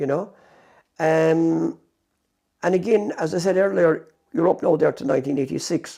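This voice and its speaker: With a West Cork accent, a man speaks at a moderate pace in a dark, mellow tone at a fairly high pitch, with ordinary pitch variation and long, frequent pauses. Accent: West Cork Irish. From West Cork, Ireland. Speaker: former mobile shop owner. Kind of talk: oral history interview answer.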